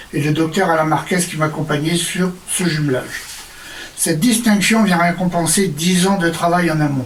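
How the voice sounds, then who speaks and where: There is audible room echo and noticeable background noise as a man talks at a fairly quick pace. His pitch is high, his intonation fairly even, and his loudness very even. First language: French. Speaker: patient organization leader. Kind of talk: award acceptance speech.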